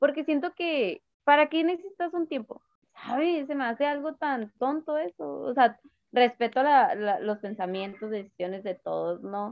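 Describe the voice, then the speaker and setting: Pitched high, a woman speaks at a fairly slow pace with very wide pitch swings. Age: 20s. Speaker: podcast guest. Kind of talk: casual chat.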